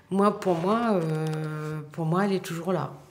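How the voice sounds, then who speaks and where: A woman with a very deep, low voice at a very slow pace, amid noticeable background noise and audible room echo. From France, Paris. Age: 60s. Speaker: bookseller. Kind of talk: documentary interview. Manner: hesitant, many fillers.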